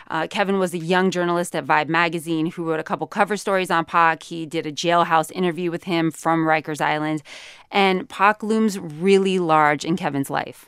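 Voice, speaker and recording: In a very clean recording with a silent background, a woman with an American accent and fairly low pitch speaks at a moderate pace with fairly even intonation in an unremarkable speaking voice. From Sacramento, California. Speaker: podcast co-host. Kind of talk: casual chat.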